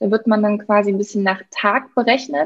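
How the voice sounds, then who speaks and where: Over a quiet background, a woman speaks at medium pitch. She keeps a moderate pace. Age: 20s. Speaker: financial advisor. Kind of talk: interview.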